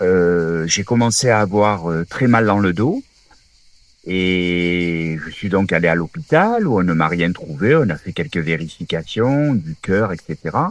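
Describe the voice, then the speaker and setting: Speaking at a very slow pace, a man talks in a very deep, low voice. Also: ordinary pitch variation. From southern France, Toulon area. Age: 60s. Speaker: former rugby player, wheelchair user. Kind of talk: interview testimony. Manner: hesitant, many fillers.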